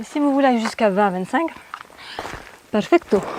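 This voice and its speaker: A woman's intonation is lively while noticeable background noise carries on behind her. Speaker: fitness and yoga instructor. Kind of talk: workout class instruction. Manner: soft-spoken.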